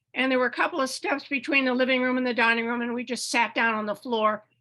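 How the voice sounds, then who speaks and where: A woman's raised, projected voice, high in pitch and bright, sharp in tone. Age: 80s+. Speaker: audience member. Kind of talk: testimony.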